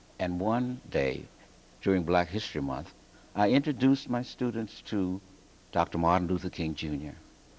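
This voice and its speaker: Lively intonation runs at a moderate pace, broken by long, frequent pauses. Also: man. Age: 60s. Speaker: English teacher and author. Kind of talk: TV news interview.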